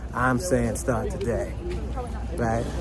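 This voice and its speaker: A man's voice with crowd noise in the background and audible room echo. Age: 50s. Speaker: financial educator, formerly incarcerated. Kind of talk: motivational talk. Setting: outdoors, walking in a park. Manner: conversational, repetitive.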